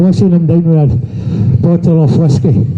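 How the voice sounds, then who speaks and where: A man talks at a moderate pace in a fairly high pitch, with noticeable background noise and audible echo from the room. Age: 70s. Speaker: abuse survivor speaking at a protest. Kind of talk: testimony. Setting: outdoors.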